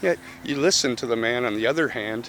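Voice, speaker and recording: A man speaks at medium pitch with ordinary pitch variation, and noticeable background noise can be heard. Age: 50s. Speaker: march participant. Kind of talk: street interview.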